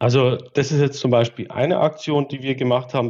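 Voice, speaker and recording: A man with a dark, mellow tone speaks at a moderate pace, the background quiet. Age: 30s. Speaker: regional volunteer coordinator of an automobile club. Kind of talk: interview.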